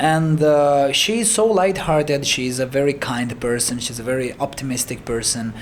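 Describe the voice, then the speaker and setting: Against noticeable background noise, a man with a Romanian accent speaks at a moderate pace and fairly high pitch, with lively intonation and hardly any pauses. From Moldova. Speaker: singer and music producer. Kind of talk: interview. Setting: in-person interview. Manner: halting, many fillers and repeats.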